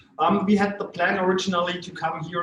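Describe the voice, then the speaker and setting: A man speaks with a German accent at a high pitch. Audible room echo surrounds his voice. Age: 40s. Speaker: company executive and visiting Lions member. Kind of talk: self-introduction at club meeting. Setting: lunch meeting. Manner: halting, many fillers.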